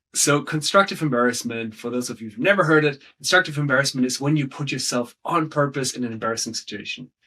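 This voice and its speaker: Talking very fast with hardly any pauses, a man has a fairly high pitch, a bright, sharp tone, ordinary pitch variation and big swings in loudness. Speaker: storytelling coach. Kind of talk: interview.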